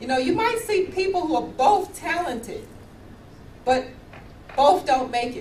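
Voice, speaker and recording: With an American accent, a woman speaks at an extremely high pitch and a fairly slow pace, her tone animated and her pitch swinging very widely, amid noticeable background noise and audible room echo. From US, New York City. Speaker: professor. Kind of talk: keynote talk.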